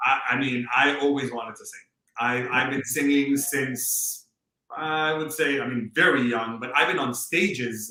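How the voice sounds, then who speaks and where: A man's medium-pitched voice, an unremarkable speaking voice, at a fairly slow pace, with fairly even intonation and big swings in loudness. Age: 30s. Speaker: classical crossover singer. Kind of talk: podcast interview.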